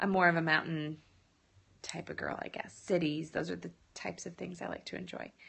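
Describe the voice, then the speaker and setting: A woman's voice with vocal fry at a moderate pace. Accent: American. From US Midwest, Illinois. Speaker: lifestyle blogger. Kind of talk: live-stream Q&A. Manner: casual, chatty.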